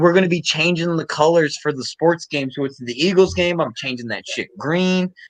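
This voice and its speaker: The man speaks in an animated tone with ordinary pitch variation. His pace is moderate, with hardly any pauses. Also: fairly high pitch for a man, dry, close sound with no echo. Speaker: sports podcast host. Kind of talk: casual chat. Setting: live stream.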